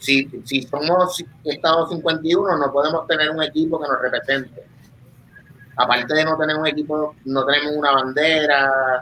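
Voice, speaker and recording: Speaking at a fairly slow pace, a man uses a fairly high pitch and a monotone, flat intonation. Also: very even loudness. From Puerto Rico, Vega Baja (north coast). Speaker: surfer and podcaster. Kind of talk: casual chat. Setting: live stream, remote connection.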